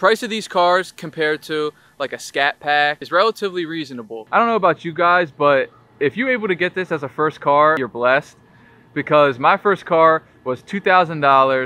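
Bright and sharp in tone, a man talks at a moderate pace with a fairly high pitch and lively intonation, the sound dry with no echo. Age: 20s. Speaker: car YouTuber. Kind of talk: casual vlog talk to camera. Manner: animated. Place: street. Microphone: phone near.

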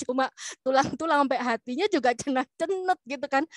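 Her pitch varies in an ordinary way, and the woman's voice sounds dry with no echo over a quiet background. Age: older, self-described older generation. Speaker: webinar participant, academic. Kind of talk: Q&A comment. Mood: light, joking. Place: home room. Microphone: video call.

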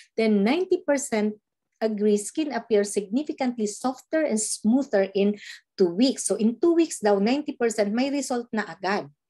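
A woman speaks very slowly in a dark, mellow, somewhat breathy tone. Her intonation is lively, and the background is quiet. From Philippines. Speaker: skincare distributor; presenter. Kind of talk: sales presentation. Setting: screen-share video presentation. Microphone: video call.

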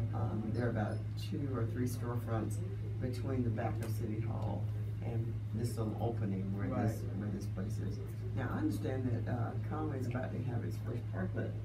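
A woman talks at a moderate pace through loud background noise. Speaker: local government official. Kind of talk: radio interview. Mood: warm, informative. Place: studio.

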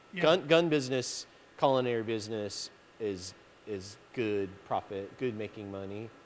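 A man speaks at a fairly low pitch with ordinary pitch variation over light background noise. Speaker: interviewee. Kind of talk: interview answer. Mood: relaxed, reflective, some laughter. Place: workshop. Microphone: handheld.

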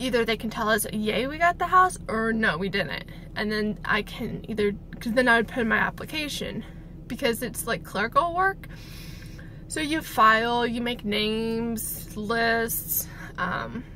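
Light background noise sits behind a woman speaking at a fairly slow pace. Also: dry sound with no echo. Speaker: vlogger. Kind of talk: casual vlog chat. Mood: hopeful, thinking aloud. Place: car. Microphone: phone near.

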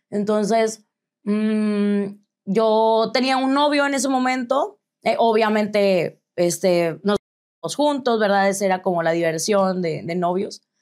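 A woman's fairly high voice at a very slow pace, with ordinary pitch variation and a quiet background. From Mexico. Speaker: tattoo artist; interview guest. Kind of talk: interview testimony. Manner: halting. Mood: reflective, candid personal story. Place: studio.

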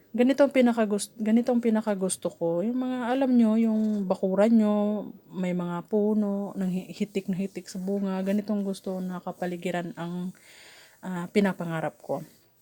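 A woman's dark, mellow tone at medium pitch, with ordinary pitch variation and a moderate pace. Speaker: vlogger. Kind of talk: casual vlog monologue. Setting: outdoors, up a mango tree. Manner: halting, stumbling over words; frequent laughter.

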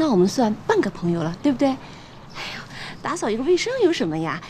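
A woman at high pitch with very wide pitch swings over light background noise. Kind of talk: scripted drama dialogue. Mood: cheerful, coaxing, flirtatious. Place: garden.

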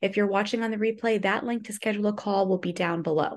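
The woman speaks with ordinary pitch variation. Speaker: attorney presenting a webinar. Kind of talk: lecture. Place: home room. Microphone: webcam.

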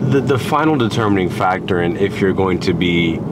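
Loud background noise fills the recording. A man talks over it at a moderate pace. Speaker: fitness vlogger. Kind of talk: casual vlog chat. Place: car. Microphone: phone near.

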